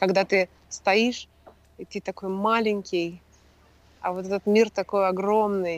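At a very slow pace, a woman speaks in a monotone, flat way at a medium pitch, leaving long, frequent pauses. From Russia. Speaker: entrepreneur, former consultant. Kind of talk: casual chat. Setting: video call.

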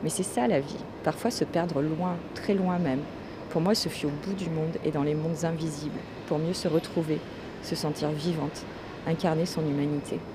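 A woman speaks with a very deep, low pitch and fairly even intonation at a moderate pace. Audible room echo and noticeable background noise surround her voice. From France. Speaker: podcaster. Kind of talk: personal monologue. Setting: airport café.

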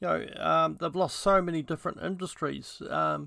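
A man with a New Zealand accent at a fairly slow pace, in a very clean recording with a silent background. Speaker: podcaster. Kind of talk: casual monologue. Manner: halting, many fillers.

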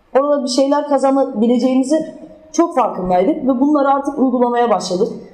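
A woman talks at a fairly quick pace in a high pitch. Audible room echo and noticeable background noise surround her. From southern Turkey, Adana. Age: 20s. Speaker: former handball player, talk speaker. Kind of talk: public talk with slides.

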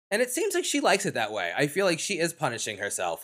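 A man with an American accent talks very fast with vocal fry and very wide pitch swings, in a very clean recording with a silent background. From New York. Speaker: podcast host. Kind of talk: casual chat.

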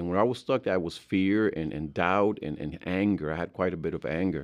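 Against a quiet background, a man with a Mexican accent speaks at a moderate pace with a very deep, low pitch and ordinary pitch variation. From Mexico. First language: Spanish. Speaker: grief recovery specialist. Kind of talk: interview. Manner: halting.

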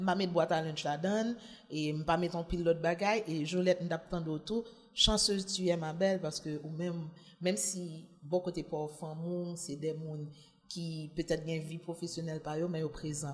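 A woman's very slow, somewhat breathy voice, fairly low in pitch with fairly even intonation. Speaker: journalist, single mother. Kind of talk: casual chat.

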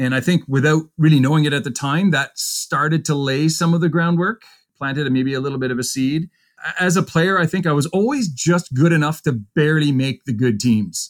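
With a Canadian accent, a man talks fairly quickly in an ordinary speaking voice that is fairly high and shows ordinary pitch variation. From Ontario, Canada. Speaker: university hockey coach. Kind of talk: interview.

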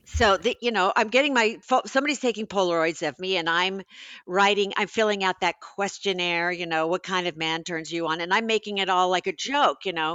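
Using an unremarkable speaking voice, a woman talks at a fairly quick pace, her pitch medium with ordinary variation. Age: 60s. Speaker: author. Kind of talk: casual chat.

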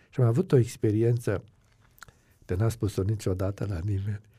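A dark, mellow tone carries this somewhat breathy voice. Its pace is moderate. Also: man. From Romania, Transylvania (Aiud). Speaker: pastor and Bible teacher. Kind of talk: interview.

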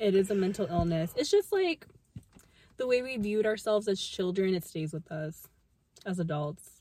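At a medium pitch and moderate pace, a woman with a dark, mellow, somewhat breathy tone speaks with lively intonation and long, frequent pauses. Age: 20s. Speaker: podcast co-host, lawyer. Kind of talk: casual chat.

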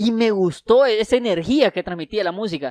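A man's voice comes through a very clean recording with a silent background and a dry, close sound with no echo. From Honduras, Santa Rosa de Copán. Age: 30s. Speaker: writer and rapper. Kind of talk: casual interview.

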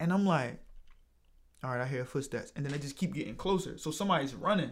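The speech comes at a very fast pace with ordinary pitch variation. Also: man. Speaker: podcast host. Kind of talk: casual interview.

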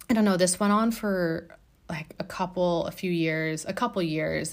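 An unremarkable speaking voice moves at a fairly slow pace. Its pitch varies an ordinary amount. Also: woman. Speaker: art therapist and podcast host. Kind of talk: solo podcast monologue, personal storytelling. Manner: conversational, filler words, warm.

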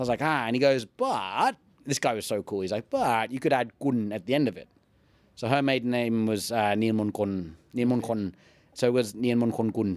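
A man with an English accent speaks at a moderate pace and medium pitch with fairly even intonation. The recording is very clean, with a silent background. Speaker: ring announcer and fitness YouTuber. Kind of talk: casual chat. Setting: studio.

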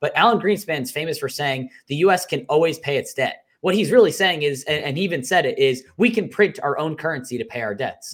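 With a plain, everyday voice, this man talks at a fairly quick pace with hardly any pauses, lively intonation and a fairly high pitch. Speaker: podcast co-host filling in. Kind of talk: casual chat.

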